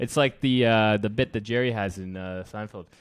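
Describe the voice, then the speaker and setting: On a very clean recording with a silent background, a man talks at a fairly quick pace. He has a normal speaking voice, fairly low in pitch, with ordinary pitch variation. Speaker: podcast host. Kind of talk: casual chat.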